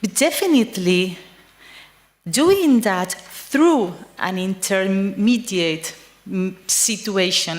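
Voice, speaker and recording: A woman talks at a very slow pace with medium pitch and ordinary pitch variation. Noticeable background noise can be heard. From Spain. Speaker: psychiatrist and researcher. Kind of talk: conference talk. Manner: halting, frequent fillers.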